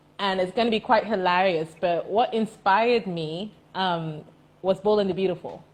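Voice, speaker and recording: A woman with an American accent speaks in an unremarkable speaking voice, medium-pitched, with fairly even intonation at a moderate pace. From Dubai, UAE (teen years in the US). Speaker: entrepreneur. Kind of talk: interview. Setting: Instagram live.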